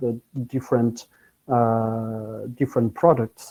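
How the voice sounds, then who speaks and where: With a French accent, a man talks very slowly at a medium pitch in a monotone, flat way, his tone dark and mellow. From France. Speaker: technology business professional. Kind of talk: conference presentation. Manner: halting, many fillers.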